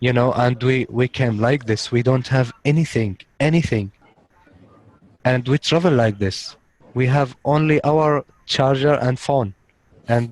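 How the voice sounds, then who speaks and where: With a Syrian accent, a man speaks at a fairly slow pace and medium pitch, with ordinary pitch variation and long, frequent pauses. His loudness is very even, and the sound is dry and close with no echo. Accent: Syrian Arabic accent, non-native English. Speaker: refugee, coding student. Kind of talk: interview. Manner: halting.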